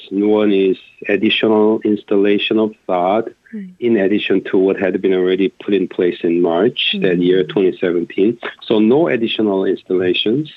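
The speaker has a Korean accent and a fairly even intonation. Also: man, fairly low pitch for a man, moderate pace. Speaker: professor. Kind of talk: radio interview. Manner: halting.

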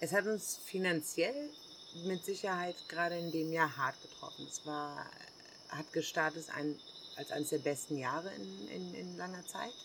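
This woman speaks at a fairly slow pace with a fairly low pitch and lively intonation. She leaves long, frequent pauses. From Germany. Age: 40s. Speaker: hostel owner. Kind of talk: casual interview. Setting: outdoors in the jungle.

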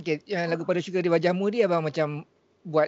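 Ordinary pitch variation runs through a man's speech, delivered at a very fast pace. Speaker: podcast host. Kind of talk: casual chat.

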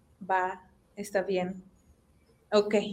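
A woman talks at a very slow pace. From Mexico, Monterrey (Apodaca). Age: 20s. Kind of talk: testimony.

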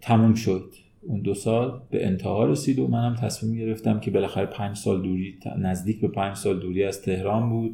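A man's fairly low, dark, mellow voice, somewhat breathy, at a fairly quick pace with ordinary pitch variation. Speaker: human resources manager. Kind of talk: interview.

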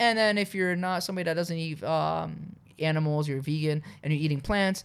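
Speech at a fairly quick pace comes through on a very clean recording with a silent background. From Canada, raised from age seven; born in Poland. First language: Polish. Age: 30s. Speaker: nutrition store owner. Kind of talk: casual interview chat.

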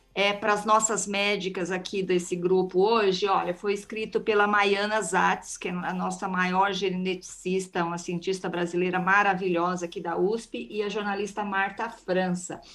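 A woman talks with monotone, flat intonation. She barely pauses at all. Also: medium pitch for a woman, moderate pace. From Brazil, countryside. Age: 50s. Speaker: podcast host. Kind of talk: casual chat.

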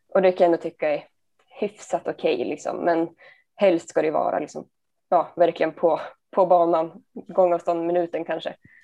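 A woman's dark, mellow voice, fairly low in pitch, at a moderate pace with fairly even intonation. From Sundsvall, Sweden. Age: 20s. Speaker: amateur disc golfer and nursing student. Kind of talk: interview.

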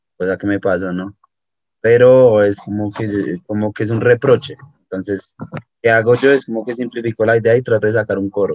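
An ordinary speaking voice from a man at medium pitch, moderate pace and fairly even intonation. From Colombia, Bogotá. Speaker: musician. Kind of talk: casual interview.

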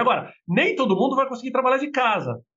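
The speaker is a man. His intonation is lively. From Brazil, Minas Gerais; raised in São Paulo from 11. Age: 40s. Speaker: business executive. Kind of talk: interview conversation.

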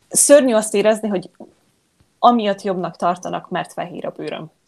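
Her intonation fairly even, a woman speaks. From Hungary. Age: 20s. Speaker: yoga teacher. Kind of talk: interview. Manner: halting, many repeated words.

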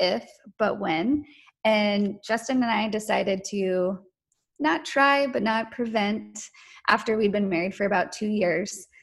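A woman with an American accent speaks at a moderate pace in a fairly high, somewhat breathy voice. Her pitch variation is ordinary. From North Carolina. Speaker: podcast guest sharing infertility story. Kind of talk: testimony.

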